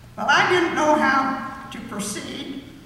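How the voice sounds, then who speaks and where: A woman raises and projects her voice above noticeable background noise. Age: 80s+. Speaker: university graduate, retired accountant. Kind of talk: graduation chapel speech.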